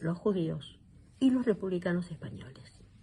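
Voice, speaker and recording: Speaking at a fairly slow pace, a woman uses a fairly low pitch with a dark, mellow tone. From Argentina. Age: 70s. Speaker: psychologist. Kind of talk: interview. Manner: hesitant, many fillers.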